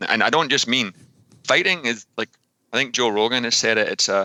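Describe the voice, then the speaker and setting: This man has a Scottish accent, a medium pitch and a bright, sharp tone, speaking at a fairly quick pace. The sound is dry and close, with no echo. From Scotland. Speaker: fitness coach and author. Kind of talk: podcast interview.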